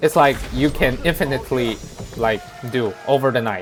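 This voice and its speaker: A man with a non-native accent over music in the background. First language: not English. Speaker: gaming video creator. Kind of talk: gameplay commentary tutorial. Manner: halting, many fillers.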